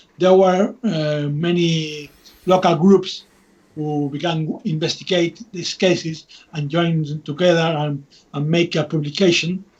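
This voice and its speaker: With a Spanish accent, a man of fairly high pitch speaks at a fairly slow pace using fairly even intonation. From Spain. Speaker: UFO researcher and author. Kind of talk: interview. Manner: halting, many restarts and fillers.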